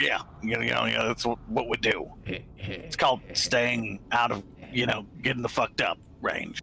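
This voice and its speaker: Using a put-on character voice, a man with a raspy, medium-pitched voice talks at a fairly slow pace with long, frequent pauses over clear background noise. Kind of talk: comic overacting. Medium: actual play. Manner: profane, contemptuous.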